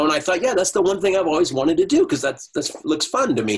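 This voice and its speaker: Speaking at a very fast pace with a high pitch and very wide pitch swings, a man talks with an American accent. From Uruguay-born, raised in the US from age three. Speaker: soap opera actor and voiceover artist. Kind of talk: casual interview. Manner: halting, with many restarts.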